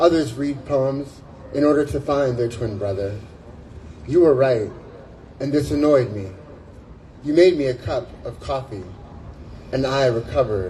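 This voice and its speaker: A man's medium-pitched voice at a moderate pace with ordinary pitch variation and long, frequent pauses, over noticeable background noise. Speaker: spoken word poet. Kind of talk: poetry reading. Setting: outdoors.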